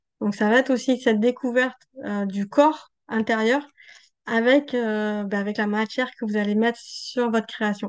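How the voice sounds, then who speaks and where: A woman's fairly high voice at a moderate pace. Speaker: art journaling teacher and creator. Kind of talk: tutorial. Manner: hesitant, many fillers.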